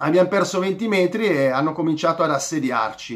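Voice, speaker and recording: Against a quiet background, a man talks at a fairly slow pace in a high pitch with lively intonation. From Italy. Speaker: football vlogger, Inter fan. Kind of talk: angry rant, heated match review with sarcastic insults at a player. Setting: home video recording, direct address to viewers. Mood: frustrated, critical. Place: home room. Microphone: phone near.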